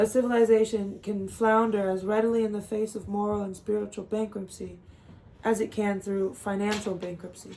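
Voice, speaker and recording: The woman speaks at a medium pitch with a monotone, flat intonation. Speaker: book reader, channel creator. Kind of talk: reading aloud. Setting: at home with dog in room. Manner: occasional stumbles and self-corrections.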